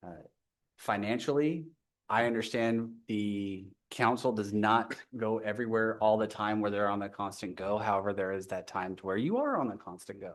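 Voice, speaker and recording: A man at a moderate pace, fairly low in pitch, with fairly even intonation and audible room echo. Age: 40s. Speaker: public commenter, navy veteran. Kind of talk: public comment at council meeting. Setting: council chambers. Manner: hesitant, many fillers.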